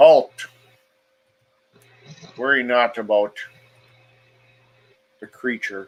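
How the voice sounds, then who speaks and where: In a booming, put-on character voice at medium pitch, a man speaks very slowly. He leaves long, frequent pauses. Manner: commanding.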